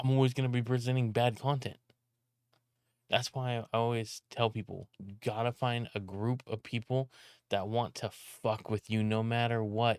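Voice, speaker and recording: A man with an American accent at medium pitch and moderate pace, monotone and flat, in a dry, close sound with no echo and a very clean recording with a silent background. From California. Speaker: streamer and video editor. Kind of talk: casual vlog monologue. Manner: loud, often sounds like yelling; rambling, halting with restarts.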